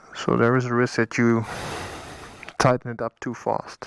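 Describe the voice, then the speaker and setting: The speaker talks at a fairly slow pace with a Dutch accent. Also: man, dry, close sound with no echo. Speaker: motorcycle vlogger. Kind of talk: tutorial. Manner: halting.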